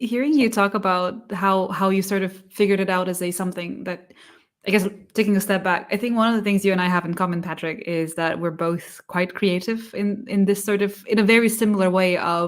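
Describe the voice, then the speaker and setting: At a fairly quick pace and with fairly even intonation, a non-native accent comes through in a very clean recording with a silent background. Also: woman, medium pitch for a woman. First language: not English. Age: 40s. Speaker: sales engineering livestream co-host. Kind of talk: casual interview chat. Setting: live stream.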